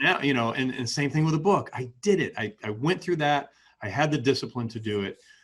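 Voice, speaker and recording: Lively intonation marks this man's fairly high, somewhat breathy voice. He speaks at a fairly quick pace. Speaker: podcast host. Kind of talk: interview question.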